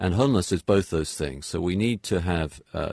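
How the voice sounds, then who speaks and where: A man with a British accent and a very deep, low pitch, vocal fry, a fairly quick pace, and a dry, close sound with no echo. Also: very clean recording, silent background. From England. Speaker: pastor and author. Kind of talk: radio interview. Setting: home studio.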